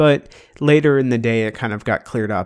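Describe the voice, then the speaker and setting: Using a plain, everyday voice, a man speaks at medium pitch and a moderate pace. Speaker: podcast host. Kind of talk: casual chat. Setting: video call.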